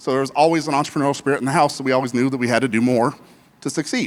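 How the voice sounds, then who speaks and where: This is a man talking. He speaks with an American accent. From Colorado, US. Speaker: business consultant and workshop speaker. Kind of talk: conference workshop talk. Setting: stage with live audience. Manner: fast; casual, repetitive stammers.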